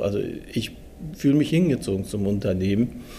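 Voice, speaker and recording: The man's tone is dark and mellow. He keeps a moderate pace. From Germany (Dortmund), came from Turkey at six. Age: 40s. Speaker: steelworker and works council chairman. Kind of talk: interview.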